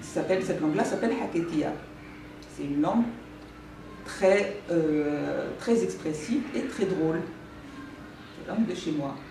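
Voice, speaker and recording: Over noticeable background noise and audible room echo, a woman with a fairly low voice talks at a fairly slow pace with lively intonation and long, frequent pauses. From France, Paris. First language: Spanish (Judeo-Spanish) (speaking French). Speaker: author. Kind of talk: talk to school class with reading aloud. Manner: halting.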